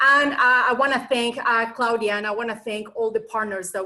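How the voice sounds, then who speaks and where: The voice has a Colombian accent and a bright, sharp tone. Its intonation stays fairly even. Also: woman. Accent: foreign accent (Colombian Spanish). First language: Spanish. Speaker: nonprofit association president. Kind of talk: online presentation.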